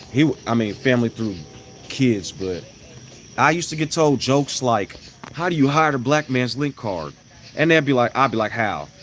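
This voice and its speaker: A man with a medium-pitched voice talks at a moderate pace with lively intonation and long, frequent pauses, over noticeable background noise. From Chicago, US Midwest. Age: 30s. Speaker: live streamer. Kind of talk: casual livestream chat.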